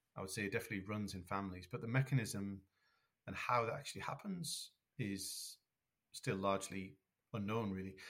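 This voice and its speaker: A man talks very fast at medium pitch with ordinary pitch variation. His voice is somewhat breathy. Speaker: scientist, synesthesia researcher. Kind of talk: expert explanation.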